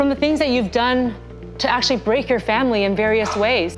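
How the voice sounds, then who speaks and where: A woman's fairly high voice, with ordinary pitch variation, is heard while music plays in the background. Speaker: psychologist. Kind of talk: TV expert commentary.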